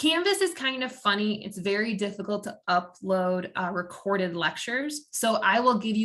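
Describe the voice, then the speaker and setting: A woman's voice sits at medium pitch with a bright, sharp tone. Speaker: college instructor. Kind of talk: lecture. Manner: fast.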